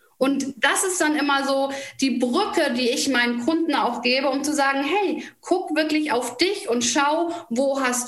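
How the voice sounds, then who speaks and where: A very slow pace, with noticeable background noise and audible room echo. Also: woman. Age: 40s. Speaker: nutrition coach. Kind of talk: interview.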